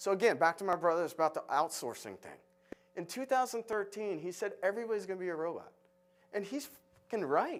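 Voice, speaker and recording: A man with an American accent talks at a very fast pace in a high voice, his tone animated and his loudness swinging widely. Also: lively intonation. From Florida, US. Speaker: architect, conference speaker. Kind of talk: conference talk. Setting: stage with audience. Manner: animated, halting with repetitions.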